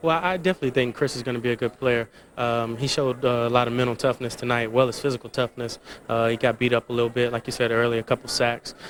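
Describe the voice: Speaking fast with few pauses, the man keeps a medium pitch, a fairly bright tone and fairly even intonation.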